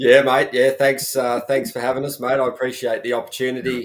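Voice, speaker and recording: A man with an Australian accent. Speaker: motocross journalist. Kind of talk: casual panel chat.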